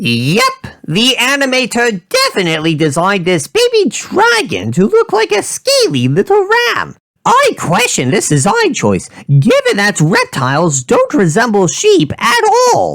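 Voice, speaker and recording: The speech, done in a put-on character voice, goes at a medium speed. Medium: comedy sketch. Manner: blunt, opinionated.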